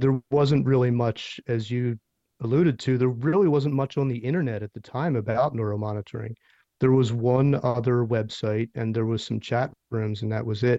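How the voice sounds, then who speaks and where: A man talks with an American accent and an unremarkable speaking voice. His pitch is medium, his pace moderate and his intonation fairly even. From US Northeast, Philadelphia. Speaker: neuromonitoring professional and society leader. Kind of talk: interview.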